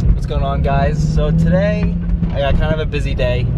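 A man is heard through loud background noise in a dry sound with no echo. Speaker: vlogger driving. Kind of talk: casual vlog chat. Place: car. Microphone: camera far.

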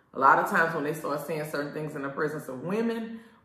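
There is audible room echo as a woman speaks against a quiet background. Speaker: show host. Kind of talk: casual vlog chat. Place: shop.

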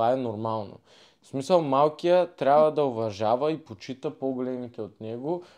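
A man speaks in an ordinary speaking voice at medium pitch and a moderate pace, with ordinary pitch variation. The background is quiet. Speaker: former wrestler, podcast guest. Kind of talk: casual chat.

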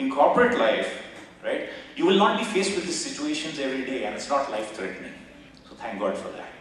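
With an Indian accent, a man speaks at a fairly quick pace with very wide pitch swings, big swings in loudness, and long, frequent pauses, in strong room echo over light background noise. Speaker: business executive and former army officer. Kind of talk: motivational guest talk. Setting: stage with audience. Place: hall.

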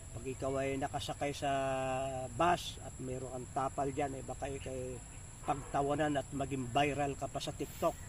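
In a somewhat breathy, fairly high voice, the man speaks with monotone, flat intonation. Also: moderate pace. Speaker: pastor and natural wellness vlogger. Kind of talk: casual outdoor tutorial vlog. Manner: halting with many fillers.

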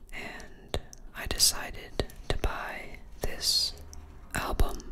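A soft-spoken whisper at a very slow pace. Loud background noise sits behind it. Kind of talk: casual unboxing talk. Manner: soft ASMR whisper.

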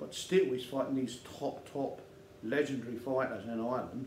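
A man speaks at a medium pitch. Light background noise and audible room echo surround him. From England, London. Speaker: YouTube channel host, bare-knuckle fighter. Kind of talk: casual monologue to camera. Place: studio.

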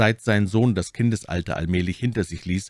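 A man speaks at a moderate pace in a solemn tone. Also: dry, close sound with no echo. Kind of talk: audiobook reading of a gothic horror story. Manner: measured, even storyteller pacing, solemn and formal.

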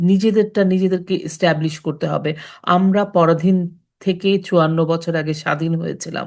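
A woman has a normal speaking voice, fairly low in pitch, with fairly even intonation. The background is quiet. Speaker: storytelling channel host. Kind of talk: impassioned patriotic commentary.

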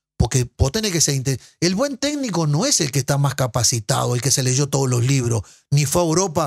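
Somewhat breathy and fairly high in pitch, a man speaks at a moderate pace with ordinary pitch variation against a quiet background. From Uruguay. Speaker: former footballer and sports broadcaster; podcast guest. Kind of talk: casual interview. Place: studio. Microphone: studio mic.

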